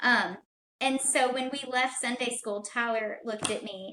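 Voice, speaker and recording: The voice belongs to a woman. It sits high in pitch. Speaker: podcast guest. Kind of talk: casual chat. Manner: soft-spoken.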